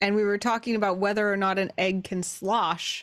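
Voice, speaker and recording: A woman with a normal speaking voice and medium pitch talks at a fairly slow pace. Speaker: tabletop roleplaying player. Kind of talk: casual banter and roleplay.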